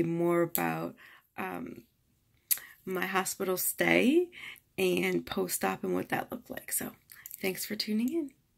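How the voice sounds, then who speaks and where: A woman talks at a moderate pace. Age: 30s. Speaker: vlogger and breast cancer survivor. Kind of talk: personal vlog explanation. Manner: casual, with fillers.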